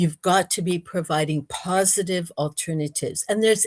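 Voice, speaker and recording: With an American accent, a woman speaks at a moderate pace in a somewhat breathy, medium-pitched voice. Her pitch varies in an ordinary way, and the sound is dry and close with no echo. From United States. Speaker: researcher and speaker. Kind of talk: interview. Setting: livestream.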